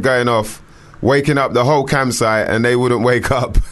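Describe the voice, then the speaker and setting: A plain, everyday voice moving at a fairly quick pace. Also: man. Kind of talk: casual chat. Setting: studio.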